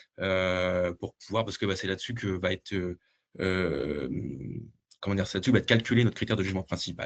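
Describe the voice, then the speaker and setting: Ordinary pitch variation runs through speech delivered at a fairly quick pace. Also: man. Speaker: dietitian presenting a research project. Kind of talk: webinar presentation; Q&A answer. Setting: video call webinar. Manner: fast; hesitant, many fillers.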